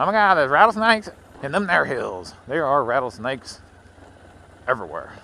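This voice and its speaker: The speech moves at a very fast pace with very wide pitch swings. Noticeable background noise runs underneath. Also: man. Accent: Southern US. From Louisiana. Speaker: motovlogger. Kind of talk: casual vlog monologue while riding. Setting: outdoors on a motorcycle. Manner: rambling, conversational.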